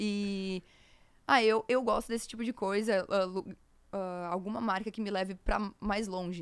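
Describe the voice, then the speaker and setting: A woman with a plain, everyday voice and a medium pitch. Her intonation stays fairly even. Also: moderate pace, quiet background. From Rio Grande do Sul interior, Brazil. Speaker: content creator. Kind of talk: casual interview. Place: studio. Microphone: studio mic.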